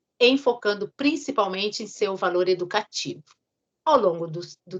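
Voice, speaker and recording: A woman with a bright, sharp tone and lively intonation at a moderate pace. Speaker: teacher / lecturer. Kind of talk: lecture reading from notes. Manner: reading, somewhat halting.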